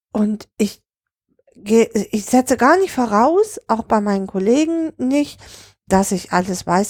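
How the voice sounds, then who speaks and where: Very slow and dry, with a close sound and no echo, a woman's fairly high voice swings very widely in pitch. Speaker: social worker and podcast host. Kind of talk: angry rant about colleagues and the system. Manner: indignant, blunt, emotional, colloquial.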